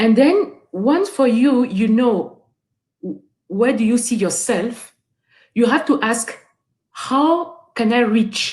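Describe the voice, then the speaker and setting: With a French accent, a woman speaks very slowly at a fairly high pitch, her intonation lively. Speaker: guest speaker. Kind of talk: webinar talk. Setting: online webinar. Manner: halting, with repetitions and fillers.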